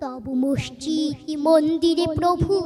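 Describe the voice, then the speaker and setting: A woman speaks in a raised, projected voice. Noticeable background noise can be heard behind her. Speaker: poetry reciter. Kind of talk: poetry reading. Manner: emotional, expressive.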